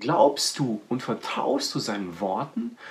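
A man's animated tone with very wide pitch swings over noticeable background noise. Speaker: preacher. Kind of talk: sermon. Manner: direct, personal address to listeners.

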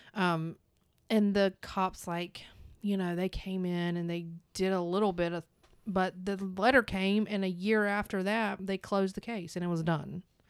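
A woman with a North Carolina accent, medium in pitch, monotone and flat, at a moderate pace, on a very clean recording with a silent background. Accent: Southern US (North Carolina). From US South, North Carolina. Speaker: true crime podcast co-host. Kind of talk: casual chat.

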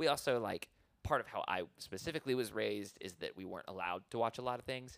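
With lively intonation and vocal fry, a man at a medium pitch speaks at a very fast pace. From small town. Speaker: podcast co-host. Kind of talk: casual chat.

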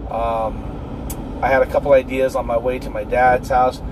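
The voice keeps a moderate pace over noticeable background noise. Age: 40s. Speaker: podcast host. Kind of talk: casual monologue.

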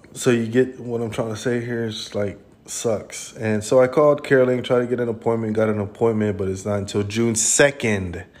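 An unremarkable speaking voice comes from a man at medium pitch. He moves at a moderate pace with fairly even intonation and hardly any pauses. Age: 30s. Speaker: podcast host. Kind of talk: casual monologue. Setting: hospital room. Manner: casual and rambling.

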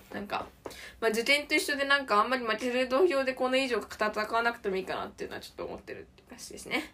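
A woman speaks very fast in a raised, projected, high-pitched voice, her intonation lively and her loudness swinging widely, with noticeable background noise behind her. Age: 20s. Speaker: podcaster, university student. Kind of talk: solo casual monologue.

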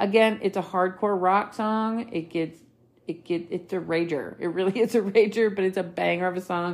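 A woman with a plain, everyday voice, medium pitch, fairly even intonation and moderate pace, on a very clean recording with a silent background. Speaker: podcast host. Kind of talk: solo podcast monologue.

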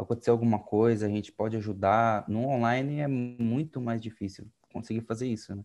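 A man with a plain, everyday voice at medium pitch, fairly quick and fairly even in intonation, against a quiet background. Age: 20s. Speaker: dental student, youth service club president. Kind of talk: casual chat.

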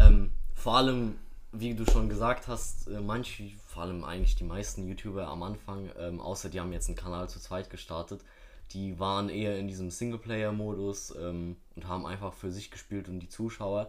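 A man's fairly low voice at a moderate pace, fairly even in intonation but with big swings in loudness, plus audible room echo. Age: young. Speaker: podcast guest. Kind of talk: casual chat.

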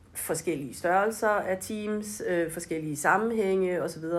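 Here a woman speaks at a very slow pace. Her pitch is medium, with ordinary variation. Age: 40s. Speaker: brand manager. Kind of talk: interview. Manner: hesitant, many fillers.

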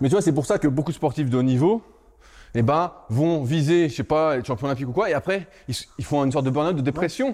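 An unremarkable speaking voice from a man, fairly high in pitch, with ordinary pitch variation and a fairly quick pace. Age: 30s. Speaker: strength training coach. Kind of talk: casual chat.

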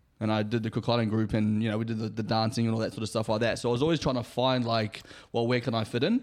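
A man with a New Zealand accent talks at a very fast pace and medium pitch. His intonation stays monotone and flat. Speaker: podcast co-host. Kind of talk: casual chat.

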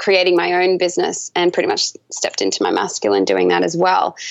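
Here a woman speaks with an Australian accent. Her pace is fairly quick. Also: quiet background.

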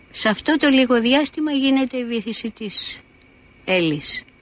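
A woman speaks fairly slowly in a high voice. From Greece, Athens. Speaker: painter and retired art teacher. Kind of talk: personal testimony.

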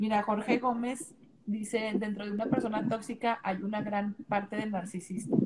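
A woman with a fairly high pitch speaks at a fairly slow pace against noticeable background noise. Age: 30s. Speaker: dance and Zumba instructor. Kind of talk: casual chat. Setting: Instagram live video stream.

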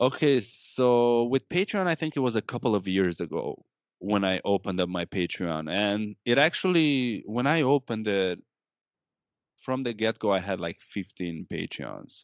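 A man's medium-pitched voice in a Romanian accent, lively in intonation and moderate in pace. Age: 30s. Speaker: cannabis YouTuber. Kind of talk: casual chat.

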